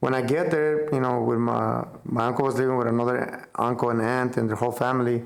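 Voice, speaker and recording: A man with a Spanish accent speaks quickly at medium pitch. Audible room echo and noticeable background noise are present. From central Mexico, small town. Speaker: business owner. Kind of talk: casual interview chat. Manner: animated, casual.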